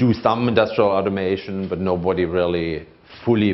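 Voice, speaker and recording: With a slight German accent, a man speaks at a very deep, low pitch and with fairly even intonation. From Germany. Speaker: conference speaker, procurement manager. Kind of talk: conference talk.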